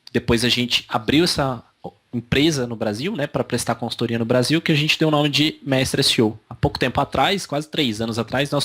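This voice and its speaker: A man at a very fast pace, with a slight Minas Gerais accent and ordinary pitch variation. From Brazil, São Paulo (childhood), born Minas Gerais. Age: 30s. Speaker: digital marketing agency owner. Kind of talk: interview. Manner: hesitant, many fillers.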